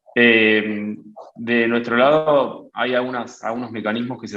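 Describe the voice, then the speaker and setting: A man speaks with an Argentine accent. His intonation is fairly even. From Argentina. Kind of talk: webinar Q&A. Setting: video webinar. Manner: halting.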